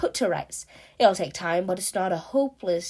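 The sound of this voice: In an unforced reading voice, the speaker uses lively intonation.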